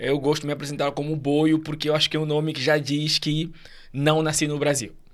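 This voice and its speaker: This man has an Angolan accent and a fairly high pitch. He talks at a fairly quick pace with monotone, flat intonation. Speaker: immigrant guest. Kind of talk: podcast interview.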